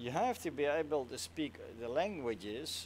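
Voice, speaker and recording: Someone with a Dutch accent speaks at a fairly slow pace. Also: man. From Netherlands. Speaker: flight sim streamer. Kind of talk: casual live stream chat. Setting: live stream.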